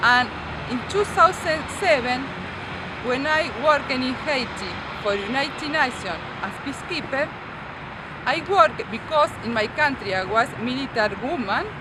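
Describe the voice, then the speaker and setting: With a non-native accent, a woman speaks at a high pitch with lively intonation and a moderate pace, leaving long, frequent pauses. Noticeable background noise and audible room echo fill the recording. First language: not English. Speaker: ESL student, former peacekeeper. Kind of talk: class presentation. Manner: halting.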